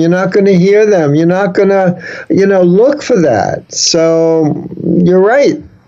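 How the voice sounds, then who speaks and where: In a New York accent, a man talks at a fairly slow pace and a high pitch, with audible room echo and noticeable background noise. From New York City (the Bronx). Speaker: humor speaker and author. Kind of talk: interview. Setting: video call.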